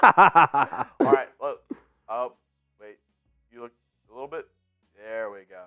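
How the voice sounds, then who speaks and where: Speech comes at a fairly slow pace with long, frequent pauses over music in the background. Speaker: sports livestream co-host. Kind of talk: casual.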